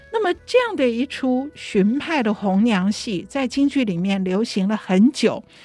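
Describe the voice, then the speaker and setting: A fairly high-pitched woman at a fairly slow pace, lively intonation and hardly any pauses, with music in the background. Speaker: radio co-host and opera playwright. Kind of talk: casual radio chat.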